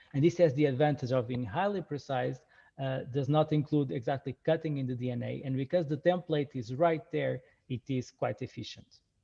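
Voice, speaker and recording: The voice belongs to a man and sounds somewhat breathy. He talks at a fairly quick pace. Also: medium pitch for a man, ordinary pitch variation. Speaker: research scientist. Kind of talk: lecture. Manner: halting, many fillers.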